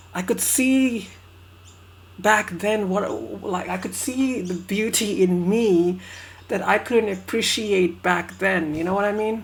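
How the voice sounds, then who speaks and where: Speaking at a very slow pace, a woman uses ordinary pitch variation in a room with audible echo. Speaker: vlogger. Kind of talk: casual vlog monologue. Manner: halting, many fillers and restarts.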